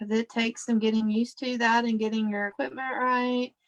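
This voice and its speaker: With a Southern US accent, a woman speaks in a fairly high pitch at a moderate pace. Her intonation is flat and monotone, against a quiet background. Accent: Southern US country. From Kentucky. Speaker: scrapbooking livestream host, former teacher. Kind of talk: live crafting livestream chat. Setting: live online video stream. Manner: loud. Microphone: video call.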